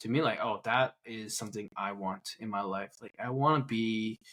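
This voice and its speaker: Heard in a very clean recording with a silent background, a man with a non-native accent speaks with fairly even intonation. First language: not English. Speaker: podcast co-host. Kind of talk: casual chat. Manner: halting.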